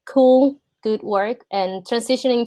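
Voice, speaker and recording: Dark and mellow in tone, a woman with a Spanish accent speaks at a fairly high pitch. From Puerto Rico. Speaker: product designer. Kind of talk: portfolio review on a video call.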